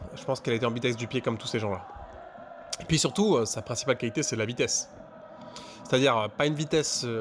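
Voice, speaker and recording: Talking at a very fast pace yet with long, frequent pauses, a man speaks at medium pitch with ordinary pitch variation. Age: 30s. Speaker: former colleague recounting office football. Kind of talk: mock radio testimony. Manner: halting, many repetitions and hesitations.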